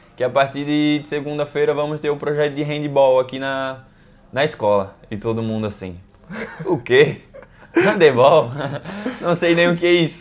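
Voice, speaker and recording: A man speaks in a fairly high voice at a moderate pace. His pitch varies in an ordinary way, and he leaves long, frequent pauses. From Brazil, Maceió, Alagoas (Northeast). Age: 20s. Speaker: professional handball player. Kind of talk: interview. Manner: casual, with many fillers and repetitions.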